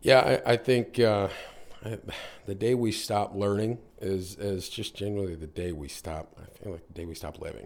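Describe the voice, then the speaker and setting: With an American accent, a man talks at a fairly low pitch. His pace is moderate, and his pitch variation is ordinary. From US, North Carolina. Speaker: business owner in real estate/mortgage field. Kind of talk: casual interview. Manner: halting, many fillers and repetitions.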